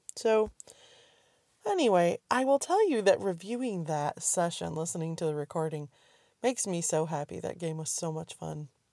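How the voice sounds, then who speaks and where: A woman speaks at a moderate pace with a dark, mellow tone. Her pitch is fairly low and her intonation lively. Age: 50s. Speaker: podcast host. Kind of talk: casual monologue.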